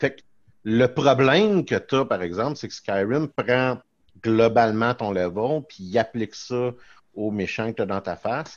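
A man speaks at a fairly slow pace in a plain, everyday voice, pitched fairly low with ordinary pitch variation. The background is quiet. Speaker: podcast co-host. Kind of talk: casual chat.

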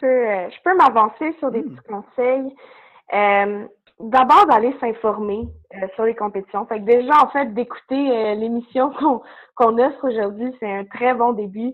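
A woman's normal speaking voice, fairly high in pitch, at a fairly slow pace with ordinary pitch variation. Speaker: university student. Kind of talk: interview.

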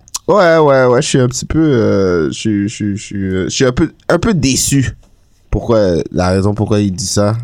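Lively intonation marks this man's fairly low voice. He talks at a very slow pace. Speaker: podcast host. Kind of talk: casual chat.

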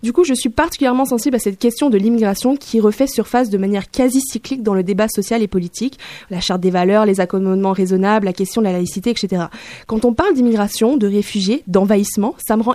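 A fairly high-pitched woman with a dark, mellow tone, very fast pace and ordinary pitch variation, in a dry, close sound with no echo. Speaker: radio columnist. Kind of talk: opinion column.

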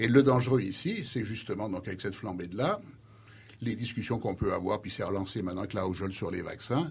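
This man's fairly low voice sounds somewhat breathy, moving at a fairly quick pace with ordinary pitch variation. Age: 60s. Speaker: retired pharmacology professor. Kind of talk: radio interview.

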